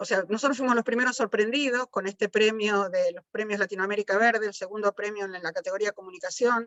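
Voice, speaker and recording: Her fairly high-pitched voice moves at a fairly quick pace, with fairly even intonation from this woman. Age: 60s. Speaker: biologist. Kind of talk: panel talk. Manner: halting, many fillers.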